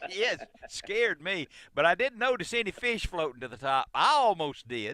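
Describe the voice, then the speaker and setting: A man speaks at a moderate pace in a high, raised and projected voice with a bright, sharp tone. His pitch swings very widely, and the sound is dry and close with no echo. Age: 70s. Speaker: radio host. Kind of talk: call-in radio chat. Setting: radio studio.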